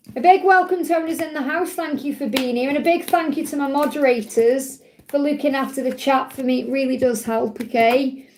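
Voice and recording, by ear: A woman's high-pitched voice at a fairly quick pace, with ordinary pitch variation and audible room echo.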